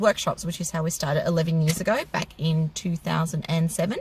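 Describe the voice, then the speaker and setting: A woman with an Australian accent speaks at a fairly quick pace in a somewhat breathy voice. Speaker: car maintenance teacher and channel co-host. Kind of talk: casual Q&A chat.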